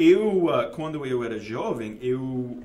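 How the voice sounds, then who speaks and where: A man with a Texan accent speaks at a fairly high pitch, with noticeable background noise and audible room echo. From Texas, Dallas. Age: 50s. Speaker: investment fund manager. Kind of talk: interview. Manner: halting.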